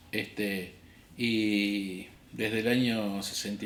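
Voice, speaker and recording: A man's fairly low voice in an Argentine accent, at a very slow pace, with audible room echo. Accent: Argentine Spanish (Rioplatense). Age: 60s. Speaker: history teacher and political activist. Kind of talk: interview testimony.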